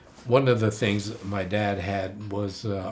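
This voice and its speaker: Speaking very slowly at a fairly low pitch with an American accent, a man is heard with audible room echo. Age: 80s+. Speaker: Japanese American wartime camp survivor. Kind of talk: oral history interview. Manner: halting, with fillers and restarts.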